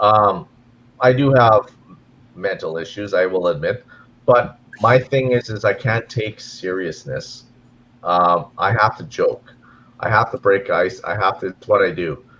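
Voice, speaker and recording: Someone with a Canadian accent speaks at a fairly slow pace, with lively intonation. Long, frequent pauses break up the speech. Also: man, medium pitch for a man. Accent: Canadian, noticeable. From Canada, near Minnesota. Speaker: gold mine community relations worker. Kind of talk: casual chat. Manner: halting, repeats words.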